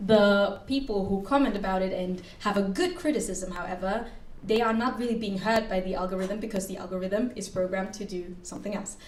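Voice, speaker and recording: With audible room echo and noticeable background noise, a woman speaks at a fairly quick pace and medium pitch, her intonation fairly even and hardly any pauses. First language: German. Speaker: master's student and researcher, panelist. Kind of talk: conference panel answer.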